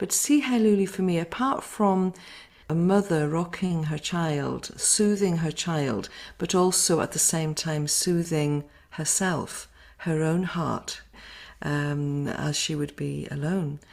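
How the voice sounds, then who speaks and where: In a Welsh accent, a woman talks at a very slow pace on a very clean recording with a silent background. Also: fairly low pitch for a woman, ordinary pitch variation. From Wales. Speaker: singing circle leader. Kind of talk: interview talk. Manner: halting, many fillers.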